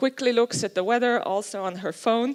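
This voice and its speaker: With a Swiss German accent, a woman speaks at a moderate pace in a high pitch, the sound dry and close with no echo. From Switzerland. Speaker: youth and technology researcher. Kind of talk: conference talk. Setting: stage with audience.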